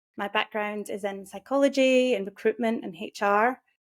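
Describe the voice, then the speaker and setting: A woman with a Scottish accent at a medium pitch and moderate pace, her intonation fairly even, in a dry, close sound with no echo. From Scotland. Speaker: career and mindset coach. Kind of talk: interview.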